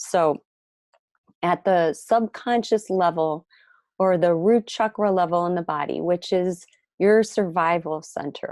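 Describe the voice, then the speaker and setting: In a dry, close recording with a quiet background and no echo, a woman with an Ohio accent speaks fairly slowly at a fairly low pitch, with ordinary pitch variation. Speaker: spiritual teacher, tantra and yoga guide. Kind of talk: webinar teaching. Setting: online webinar.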